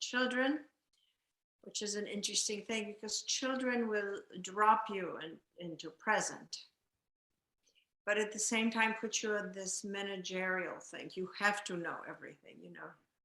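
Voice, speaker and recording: The voice has a bright, sharp tone and fairly even intonation at a moderate pace. Its loudness swings widely. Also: woman, medium pitch for a woman. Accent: Polish. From Poland. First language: Polish. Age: 60s. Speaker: retired county employee. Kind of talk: group sharing.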